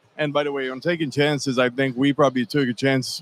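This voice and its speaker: A man talks at a fairly quick pace in a medium pitch. His intonation is monotone and flat, and the sound is dry and close with no echo. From Switzerland, between Zurich and Geneva. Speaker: cigar company owner. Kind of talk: live event interview. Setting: trade show floor.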